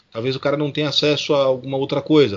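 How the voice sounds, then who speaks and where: A man of medium pitch speaks at a fairly quick pace with noticeable background noise. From Brazil, São Paulo city. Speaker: scout group president. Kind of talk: interview.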